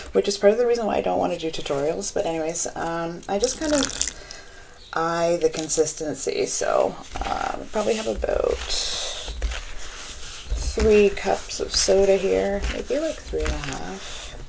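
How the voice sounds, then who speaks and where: There is noticeable background noise as a woman speaks. Her tone is relaxed, with long, frequent pauses. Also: moderate pace. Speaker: ASMR creator. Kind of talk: casual tutorial talk to camera. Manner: relaxed, chatty.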